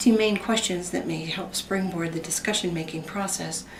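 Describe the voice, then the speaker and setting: At a moderate pace, a woman speaks through noticeable background noise and audible room echo. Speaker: student presenter, emergency room healthcare worker. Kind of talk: class presentation.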